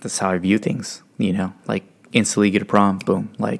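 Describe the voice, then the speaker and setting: A man talks at a fairly quick pace. His voice is fairly low and his intonation monotone and flat. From Stockton, California. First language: Spanish. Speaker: podcast co-host. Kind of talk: casual chat. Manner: casual, filler-heavy.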